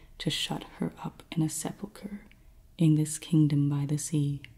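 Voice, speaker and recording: Soft-spoken and somewhat breathy, a woman talks at a fairly slow pace in a very deep, low pitch, with a dark, mellow tone and monotone, flat intonation. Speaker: ASMR creator. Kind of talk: poetry reading.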